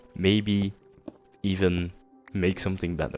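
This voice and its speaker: Music plays in the background as a man talks at a fairly slow pace. His pitch is very deep and low. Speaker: philosophy podcaster playing video games. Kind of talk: casual monologue. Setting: late night while gaming. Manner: halting.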